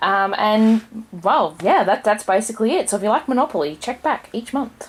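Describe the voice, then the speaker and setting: A woman with an Australian accent talks at a moderate pace in a fairly high voice. Her intonation is lively, and background noise is noticeable. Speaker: board game reviewer. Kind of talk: casual review.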